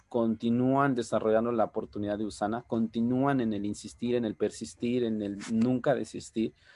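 With a plain, everyday voice, a man of medium pitch talks at a moderate pace and with fairly even intonation. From Oaxaca, Mexico. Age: 30s. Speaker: network marketing leader. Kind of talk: motivational training talk. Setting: video call.

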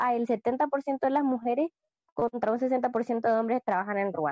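A woman talks at a fairly slow pace in a high-pitched voice with a dark, mellow tone and lively intonation. The sound is dry and close, with no echo. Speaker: podcast co-host. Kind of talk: casual podcast chat.

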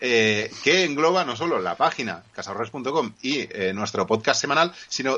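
Here a man with a medium pitch talks at a fairly slow pace. His intonation is lively. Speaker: podcast co-host. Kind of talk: casual chat. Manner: energetic. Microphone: poor audio connection.

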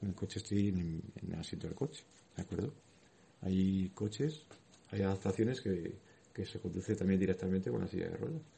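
A man with a very deep, low pitch and vocal fry talks at a fairly quick pace with lively intonation. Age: 30s. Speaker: wheelchair athlete and school volunteer speaker. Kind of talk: talk to schoolchildren. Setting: classroom.

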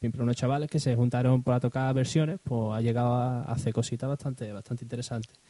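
A dark, mellow tone marks this man's voice. His pitch sits in the medium range, and his intonation is fairly even. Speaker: podcast co-host. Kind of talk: casual chat.

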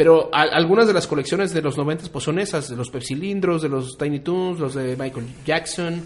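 An ordinary speaking voice moves at a moderate pace with ordinary pitch variation and hardly any pauses. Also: man, fairly high pitch for a man. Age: 30s. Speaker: podcast co-host. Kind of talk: casual chat. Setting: studio streamed on Facebook Live.

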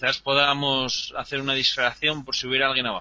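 A man speaks at medium pitch. Noticeable background noise is present. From Asturias, Spain. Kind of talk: role-play game session.

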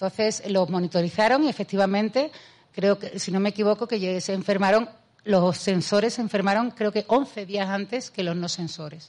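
With an Andalusian accent, a woman speaks at a moderate pace and medium pitch, with ordinary pitch variation. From Andalusia, Spain (Seville province). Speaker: mathematician and author. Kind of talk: public talk with Q&A. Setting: festival event, remote from Spain. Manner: animated.

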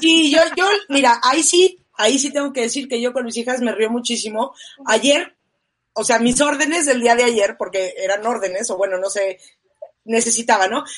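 A woman speaks loudly at a moderate pace, her high-pitched voice full of lively intonation. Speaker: talk show host. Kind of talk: live-streamed talk show.

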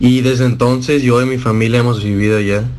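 A man talks in an unremarkable speaking voice. His pitch is medium and his intonation fairly even. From Monterrey, Mexico. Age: 20s. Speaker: electronic music producer and DJ. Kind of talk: radio interview.

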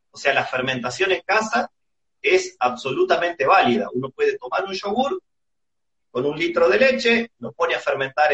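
Very wide pitch swings mark a man talking at a moderate pace. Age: 40s. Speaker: microbiology researcher and university teacher. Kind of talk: casual chat. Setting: Instagram live video call.

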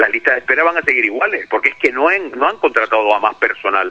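A man speaking at a very fast pace. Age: 60s. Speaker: hospital doctor and union representative. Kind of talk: phone interview. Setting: phone call.

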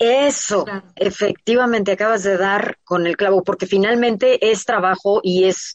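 Dry, close sound with no echo, carrying a woman's normal speaking voice at medium pitch with ordinary pitch variation. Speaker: radio show host. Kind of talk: casual interview chat. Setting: radio broadcast with remote guests.

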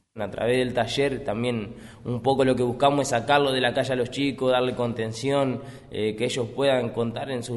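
There is audible room echo as a man of medium pitch speaks at a moderate pace with a flat, monotone intonation. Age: 20s. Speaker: rapper and youth workshop leader. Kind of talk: interview testimony.

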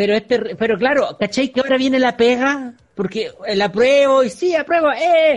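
A man with a Chilean accent speaks at an extremely high pitch. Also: ordinary pitch variation, moderate pace. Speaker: podcast co-host. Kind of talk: casual chat.

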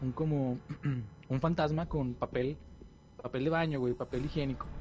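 Speaking fairly slowly in a Mexican accent, a man keeps a medium pitch with ordinary pitch variation. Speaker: podcast host. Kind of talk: casual chat.

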